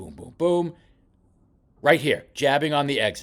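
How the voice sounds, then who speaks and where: Speaking at a fairly slow pace, a man uses an animated tone with vocal fry. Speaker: boxing coach. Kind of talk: film study commentary.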